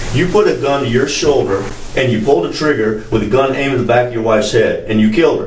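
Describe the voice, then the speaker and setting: A man with an American accent and medium pitch speaks at a very fast pace, with audible room echo and noticeable background noise. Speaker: police detective. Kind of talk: police interrogation. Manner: reading aloud rights, halting; angry, loud.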